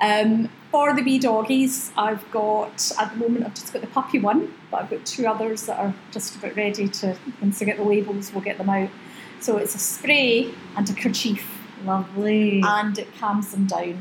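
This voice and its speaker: A woman with a West Highland Scottish accent speaks at a fairly high pitch amid noticeable background noise. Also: moderate pace. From Oban, western Scotland. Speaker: aromatherapy business founder. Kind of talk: casual interview chat. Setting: in a shop.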